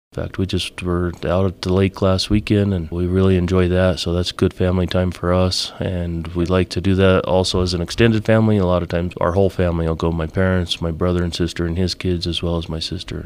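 Very fast and in monotone, flat intonation, a man talks with a very deep, low pitch. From Colorado, San Luis Valley (Alamosa). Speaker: construction company president. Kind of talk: interview.

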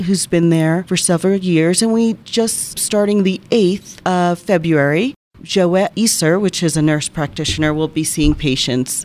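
An American accent marks this woman's unremarkable speaking voice, fairly low in pitch, delivered at a moderate pace with lively intonation. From New Jersey. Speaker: hospital communications officer. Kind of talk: interview.

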